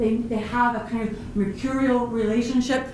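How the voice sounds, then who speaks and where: Over noticeable background noise and audible room echo, a woman with a fairly high pitch speaks in an animated tone at a fairly slow pace. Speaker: professor. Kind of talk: panel presentation.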